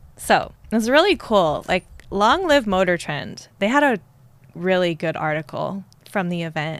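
The intonation is lively, and the pace is moderate. It's an unremarkable speaking voice. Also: woman, medium pitch for a woman. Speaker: guest host interviewer. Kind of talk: ring announcer intro, playful. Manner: warm, teasing.

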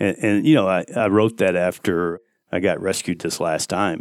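A man speaks with a very deep, low pitch and fairly even intonation at a moderate pace. The recording is very clean, with a silent background. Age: 60s. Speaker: mountain climber. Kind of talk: casual chat. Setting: at home dining table. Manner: halting.

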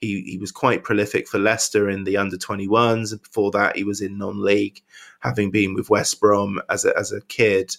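On a very clean recording with a silent background, a man with a West Country accent speaks in a fairly low pitch with fairly even intonation. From Wiltshire, England. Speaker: football fan pundit. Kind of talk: casual chat. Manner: halting.

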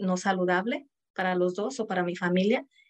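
A woman with an unremarkable speaking voice talks at a moderate pace with fairly even intonation. The sound is dry and close, with no echo. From Mexico. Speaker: entrepreneur. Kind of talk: interview.

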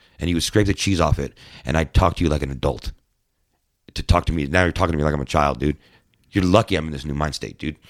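With an American accent, a man talks at a very fast pace yet leaves long, frequent pauses. His very deep, low pitch has vocal fry and ordinary variation, on a very clean recording with a silent background. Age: 40s. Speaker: former musician and tournament angler. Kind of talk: casual chat. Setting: studio.

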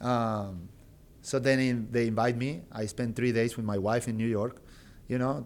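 A man speaks at a moderate pace with a Spanish accent. The recording is very clean, with a silent background. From Argentina, Rio Tercero. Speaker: basketball coach, former player. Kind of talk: interview. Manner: halting, with many fillers and repetitions.

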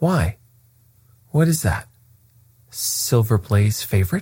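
Putting on a character voice, a man speaks slowly in a fairly low pitch with a slightly mellow tone, a slightly husky edge and big pitch swings.

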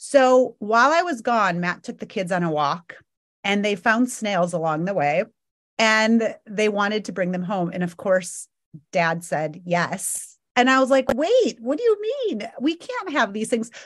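Over a quiet background, a woman uses a normal speaking voice at a fairly slow pace, her pitch fairly high and her intonation lively. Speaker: podcast co-host. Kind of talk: casual chat.

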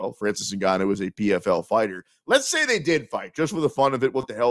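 Recorded very cleanly against a silent background, a man uses a normal speaking voice with lively intonation at a fairly quick pace, the sound dry and close with no echo. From Kansas City, US Midwest. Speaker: sports betting radio host. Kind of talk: casual sports talk show.

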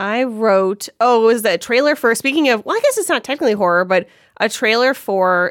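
A woman speaks with ordinary pitch variation. The recording is very clean and dry, close with no echo and a silent background. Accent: American. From Cleveland, Ohio. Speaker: comedy writer and director. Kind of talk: casual chat.

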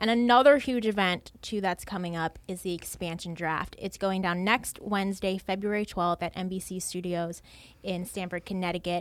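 With an American accent, a woman of medium pitch speaks in a normal speaking voice at a moderate pace, her intonation fairly even. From Baltimore, Maryland, US. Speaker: podcast host, league social media coordinator. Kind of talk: casual chat.

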